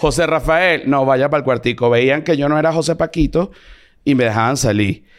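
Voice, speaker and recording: A man with a fairly high pitch speaks at a moderate pace, showing ordinary pitch variation and very even loudness. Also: very clean recording, silent background. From Venezuela. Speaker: comedian. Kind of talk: casual chat.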